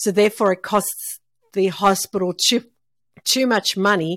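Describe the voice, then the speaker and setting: Here a woman speaks in an Australian accent with ordinary pitch variation. The recording is very clean, with a silent background. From Melbourne, Australia. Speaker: cancer survivor. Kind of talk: casual interview chat.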